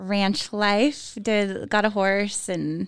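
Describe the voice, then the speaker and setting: With an American accent, a woman speaks at a very slow pace using fairly even intonation. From Northern California, East Bay. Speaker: yoga teacher. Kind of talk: casual chat.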